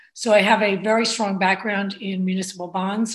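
With a New Jersey accent, a woman talks at medium pitch in a somewhat breathy voice. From New Jersey, Bayonne (Hudson County). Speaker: state legislator. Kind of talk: interview.

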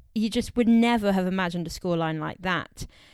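Animated, lively intonation at a fairly quick pace, in a very clean recording with a silent background. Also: woman. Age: 20s. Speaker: football podcast host. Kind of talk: casual solo podcast commentary.

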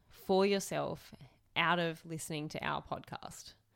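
With an Australian accent, a woman talks at a fairly slow pace and ordinary pitch variation. The recording is very clean, with a silent background. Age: 20s. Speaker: podcast co-host. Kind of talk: casual chat.

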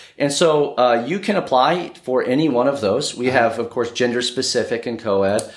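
In a plain, everyday voice, a man with an American accent talks at a fairly quick pace and medium pitch, with ordinary pitch variation and hardly any pauses. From US (born in Brazil, moved at age two). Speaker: university admissions and recruitment manager. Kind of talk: interview. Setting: on location in Lagos, Nigeria.

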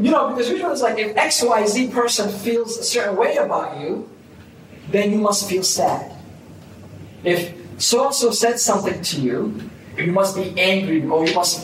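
Amid noticeable background noise and audible room echo, a man speaks at a high pitch and a moderate pace with lively intonation. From Boston, US (born in Somalia). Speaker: business coach. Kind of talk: casual interview.

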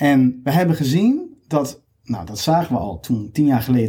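A man's medium-pitched voice, dark and mellow, somewhat breathy, with lively intonation at a moderate pace. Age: 30s. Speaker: recruiter. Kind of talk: interview.

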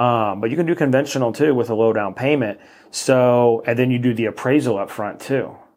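Delivered at a fairly quick pace, this is an unremarkable speaking voice with ordinary pitch variation. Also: man, medium pitch for a man. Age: 30s. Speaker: mortgage lender. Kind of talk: casual interview.

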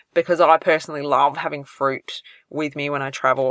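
A woman with an Australian accent, very clean recording with a silent background, dry and close with no echo. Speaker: podcast host, celiac health coach. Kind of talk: solo podcast advice talk. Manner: casual, conversational with fillers.

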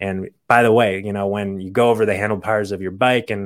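This man has an unremarkable speaking voice, fairly low in pitch, with fairly even intonation on a very clean recording over a silent background. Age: 30s. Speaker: naturopathic doctor, podcast host. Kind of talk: solo health podcast talk. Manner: casual, with frequent fillers and restarts.

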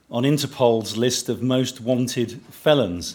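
Speaking at a fairly slow pace, a man uses a plain, everyday voice. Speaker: event host. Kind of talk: formal stage introduction. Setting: stage with audience.

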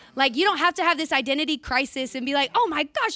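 A woman's raised, projected voice, animated and bright with a sharp tone, at a fairly quick pace with very wide pitch swings, in a very clean recording with a silent background. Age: 20s. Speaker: church leader giving a talk. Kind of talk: sermon.

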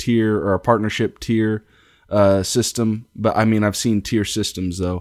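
In an American accent, a man talks at a moderate pace with a fairly low pitch, ordinary pitch variation and an unremarkable speaking voice. The recording is very clean, its background silent. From Kansas. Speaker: podcast host. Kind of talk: podcast intro and interview.

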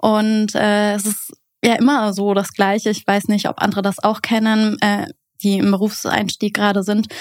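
A woman's mid-range voice holds a flat, monotone line while she talks at an unhurried but not slow rate. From Berlin, Germany. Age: 20s. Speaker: teacher. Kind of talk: casual interview.

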